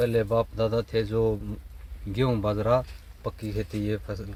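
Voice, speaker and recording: The voice belongs to a man and sits in a medium pitch range. There is some breathiness to it. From Haryana, Rohtak district. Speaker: farmer. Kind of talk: interview. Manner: rustic colloquial speech.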